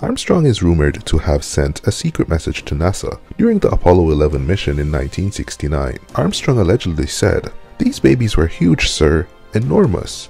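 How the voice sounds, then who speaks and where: The speech moves at a fairly quick pace with a dry sound and no echo. Faint music plays in the background. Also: man. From Canada. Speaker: content creator. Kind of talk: fact narration.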